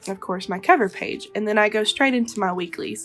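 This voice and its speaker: A woman speaks with music in the background. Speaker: web designer. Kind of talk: casual talk to camera.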